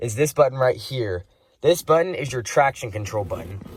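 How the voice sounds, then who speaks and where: Somewhat breathy, a man speaks at a moderate pace with ordinary pitch variation in a very clean recording with a silent background. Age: young. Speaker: car enthusiast vlogger. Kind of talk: casual review walkthrough. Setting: inside a car. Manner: casual, some stumbling.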